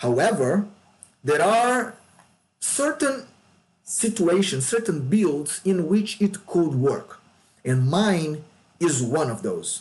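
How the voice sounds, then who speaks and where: In a Brazilian Portuguese accent, a man speaks very slowly at a high pitch, with very wide pitch swings. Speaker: gaming YouTuber. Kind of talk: game tutorial. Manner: casual, with fillers and repetitions.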